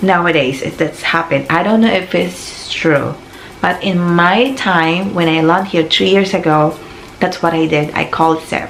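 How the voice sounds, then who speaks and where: With a Filipino accent, a woman talks at a moderate pace in a fairly low voice with ordinary pitch variation, amid audible room echo and noticeable background noise. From Philippines. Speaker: vlogger. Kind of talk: casual advice vlog.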